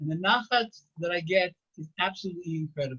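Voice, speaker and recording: Here a man with an American accent speaks in a high pitch. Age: 70s. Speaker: retired school principal and rabbi. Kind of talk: inspirational talk.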